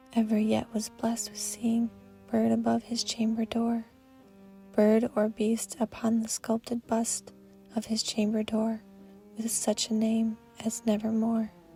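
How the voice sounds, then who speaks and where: Over music in the background, a woman speaks in a fairly high, monotone voice with flat intonation at a fairly slow pace, leaving long, frequent pauses. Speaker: narrator. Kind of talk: poetry reading. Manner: soft-spoken.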